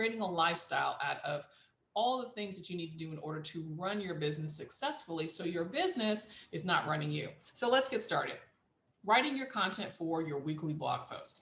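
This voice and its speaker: Audible room echo surrounds a woman with a fairly low pitch. She talks at a fairly quick pace with lively intonation. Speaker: business coach. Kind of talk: tutorial.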